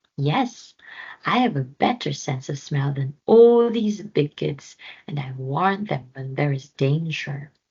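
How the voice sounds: In a put-on character voice with a husky, rough edge and a slightly mellow tone, the speaker goes at a slow pace with lively intonation. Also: woman, low pitch for a woman.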